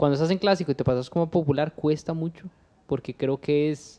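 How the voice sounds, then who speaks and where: This man has a dark, mellow tone, a fairly high pitch and ordinary pitch variation. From Costa Rica, Cartago; Costa Rica. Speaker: podcast host. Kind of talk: casual interview. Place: home room. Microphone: studio mic.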